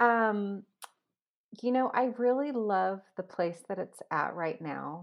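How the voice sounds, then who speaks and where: A woman talks at a very slow pace in a calm tone. Her intonation is lively. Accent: West Coast US. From US West Coast, Los Angeles. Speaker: food blogger and former chef. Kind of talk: interview.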